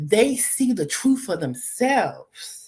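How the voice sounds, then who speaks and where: Her fairly high voice swings very widely in pitch, carrying vocal fry and an animated tone as this woman talks. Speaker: live streamer. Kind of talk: casual live stream talk. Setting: live stream from a laptop at boyfriend's house.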